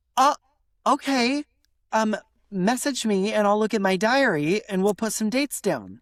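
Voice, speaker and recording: In an American accent, a woman with a fairly high pitch speaks at a fairly slow pace with long, frequent pauses, her tone animated and her intonation lively, in a very clean, dry, close recording with a silent background and no echo. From United States. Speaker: podcast co-host. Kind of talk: casual chat.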